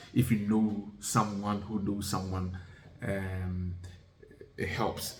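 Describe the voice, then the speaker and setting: A man speaks very slowly at a fairly low pitch, with a monotone, flat intonation and long, frequent pauses. Audible room echo and noticeable background noise come through. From Ghana and UK (moved to UK at ten). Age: 40s. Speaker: vlogger. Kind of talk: casual talk-to-camera advice. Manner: hesitant, many fillers.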